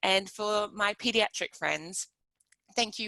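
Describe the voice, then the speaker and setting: A woman speaks in an Australian accent at a moderate pace. Her tone is bright and sharp. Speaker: pediatric nurse researcher. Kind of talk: webinar presentation. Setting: live webinar.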